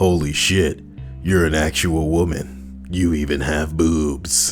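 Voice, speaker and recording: Clear music plays in the background. A man uses a put-on character voice at a fairly slow pace. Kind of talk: crude, casual. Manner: monotone groan.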